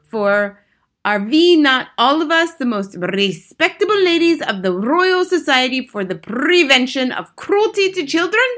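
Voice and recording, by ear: Using a put-on character voice, a woman speaks at a fairly slow pace with high pitch, big pitch swings and a fairly bright tone.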